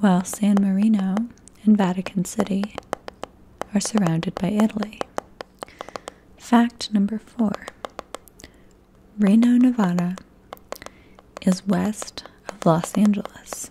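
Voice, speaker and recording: Soft-spoken and monotone, a woman talks at a fairly slow pace with long, frequent pauses over noticeable background noise. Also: medium pitch for a woman. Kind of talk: ASMR facts reading.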